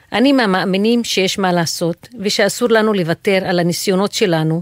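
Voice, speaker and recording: In a normal speaking voice, the speaker keeps a moderate pace and ordinary pitch variation, recorded dry and close with no echo. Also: woman. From Israel, Haifa. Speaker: professor. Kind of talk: personal monologue.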